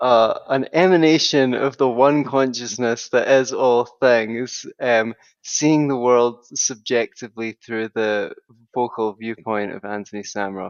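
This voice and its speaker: Speaking in a Scottish accent, a man keeps a fairly slow pace. His medium pitch has ordinary pitch variation. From Scotland. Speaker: psychotherapist and author. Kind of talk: podcast interview. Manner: chatty.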